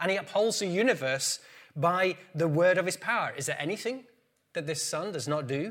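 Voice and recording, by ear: A man with a fairly high pitch speaks at a moderate pace, his tone fairly bright and his intonation lively.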